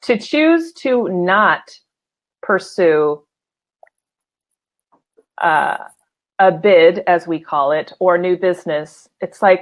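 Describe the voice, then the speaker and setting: Pausing long and often, a woman speaks at a very slow pace, her medium-pitched voice showing ordinary pitch variation. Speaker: livestream show host. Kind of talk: casual live show talk.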